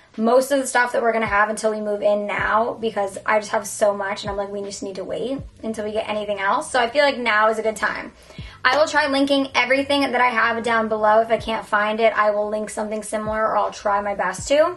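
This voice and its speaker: Over faint music in the background, a woman speaks at a very fast pace with fairly even intonation. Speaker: lifestyle vlogger. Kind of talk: casual vlog chat.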